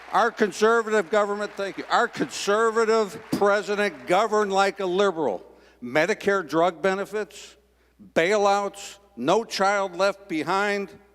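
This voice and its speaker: Through noticeable background noise, a high-pitched man talks at a fairly slow pace in an animated tone with ordinary pitch variation. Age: 60s. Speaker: political activist. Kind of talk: political speech.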